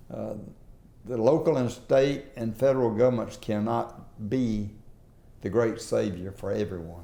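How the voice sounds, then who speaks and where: Dark, mellow tones in a Southern US accent, fairly slow with ordinary pitch variation, in audible room echo. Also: man, medium pitch for a man. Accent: Southern US (Georgia). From US South, southwest Georgia. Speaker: former state legislator and business leader. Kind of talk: oral history interview. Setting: in-person interview.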